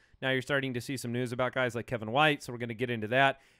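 A man is speaking. The background is quiet. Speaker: podcast host. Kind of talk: podcast host banter and show intro. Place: studio. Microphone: studio mic.

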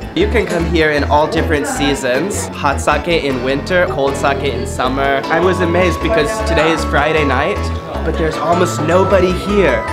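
A man talks at a moderate pace while loud music plays in the background. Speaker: travel vlogger host. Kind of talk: casual vlog chat. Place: bar. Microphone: phone near.

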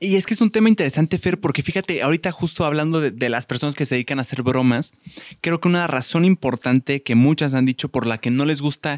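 Over a quiet background, a man talks at a fairly quick pace with ordinary pitch variation. The sound is dry with no echo. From Mexico. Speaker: podcast host. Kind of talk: casual chat. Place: studio. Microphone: studio mic.

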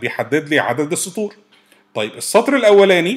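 Very wide swings in pitch from a man talking at a moderate pace. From Egypt. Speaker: programming instructor. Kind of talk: tutorial.

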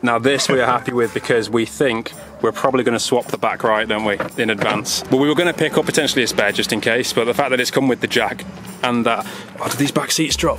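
A man talks at a very fast pace with ordinary pitch variation. Music plays in the background, and the sound is dry with no echo. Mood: upbeat, joking. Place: street. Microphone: phone near.

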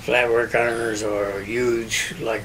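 Here a man talks with a western Pennsylvania accent. Light background noise can be heard. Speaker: business owner; interviewee. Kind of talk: oral history interview. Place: home room.

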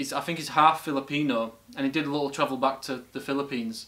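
A man speaks at a very fast pace. His intonation stays fairly even. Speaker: reaction video host. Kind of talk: casual vlog chat. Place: home room.

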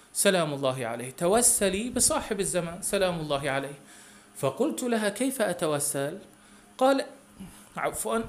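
Using a high pitch and very wide pitch swings, a man talks at a moderate tempo. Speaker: religious program presenter. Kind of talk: religious storytelling, reading a listener's testimony.

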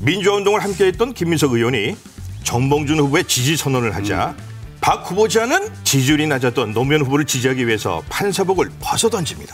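Faint music plays in the background while a man speaks fairly quickly. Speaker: voice actor. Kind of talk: TV segment narration of a profile. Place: studio.

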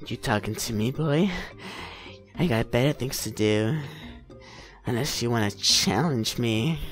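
Clear music plays behind a gruff, put-on character voice at a moderate pace. The pitch varies in an ordinary way, broken by long, frequent pauses. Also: man, medium pitch for a man. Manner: creepy, gruff, challenging.

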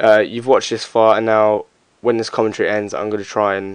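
A man mumbles at a fairly quick pace. His pitch is fairly low, and the background is quiet. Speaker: parkour and strength athlete. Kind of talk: fitness tutorial commentary. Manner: mumbling, hesitant.

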